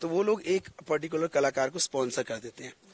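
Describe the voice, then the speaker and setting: Recorded with a dry, close sound and no echo, a man speaks at a fairly quick pace with ordinary pitch variation. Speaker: singer and stage anchor. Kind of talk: interview.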